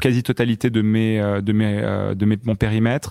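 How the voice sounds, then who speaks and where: Recorded very cleanly against a silent background, the dry, close sound has no echo and carries a monotone, flat intonation. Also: man. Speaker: fintech startup co-founder. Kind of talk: interview, casual chat.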